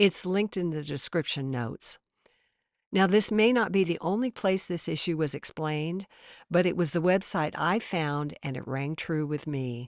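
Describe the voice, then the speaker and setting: This woman has a very deep, low pitch and lively intonation at a moderate pace. The sound is dry and close with no echo, over a quiet background. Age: 70s. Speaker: religious commentator. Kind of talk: scripted narration.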